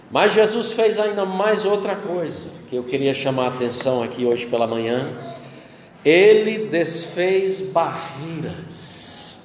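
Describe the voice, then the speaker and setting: Very slow speech with very wide pitch swings, audible room echo and noticeable background noise. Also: man, high pitch for a man. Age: 60s. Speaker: pastor. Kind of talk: sermon.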